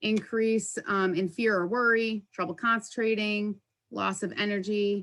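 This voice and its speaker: An unremarkable speaking voice from a woman, medium in pitch with fairly even intonation, in a very clean recording with a silent background. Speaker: workplace wellness presenter. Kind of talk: presentation.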